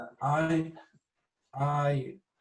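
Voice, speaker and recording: A somewhat breathy voice with a strong British accent. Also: man. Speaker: artist. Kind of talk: interview. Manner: hesitant, many fillers.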